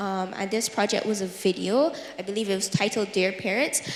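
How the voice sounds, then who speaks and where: A woman talks at a moderate pace. Noticeable background noise and audible room echo surround her voice. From Barbados. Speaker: youth advocate. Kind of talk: panel discussion. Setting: stage with audience. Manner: chatty.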